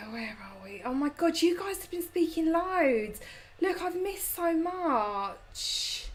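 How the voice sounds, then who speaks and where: Very slow pace from a woman with an extremely high pitch, very wide pitch swings, big swings in loudness, and audible room echo. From London. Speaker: lifestyle YouTuber. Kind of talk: live stream chat reading comments. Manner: casual, chatty.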